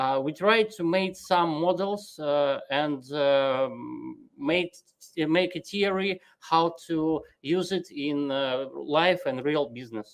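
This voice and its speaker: At a very slow pace, a woman speaks with a very deep, low pitch and ordinary pitch variation. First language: not English. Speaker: panelist. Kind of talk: online panel discussion. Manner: halting, many hesitations.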